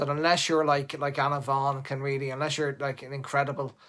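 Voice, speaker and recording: In a very clean recording with a silent background, a man with a fairly high voice speaks with an Irish accent. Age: 50s. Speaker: hairdresser. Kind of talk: live stream tutorial. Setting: live stream. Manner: animated.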